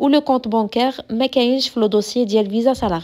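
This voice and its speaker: A woman with a Moroccan accent speaks at a fairly high pitch with ordinary pitch variation. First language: Moroccan Arabic (speaking French). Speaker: YouTuber answering immigration questions. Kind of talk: Q&A vlog.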